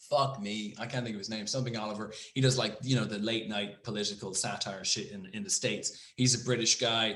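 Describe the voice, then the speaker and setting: With an Irish accent and an animated tone, a man speaks amid audible room echo. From Ireland. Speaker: podcast co-host. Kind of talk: casual chat. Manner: animated, many false starts.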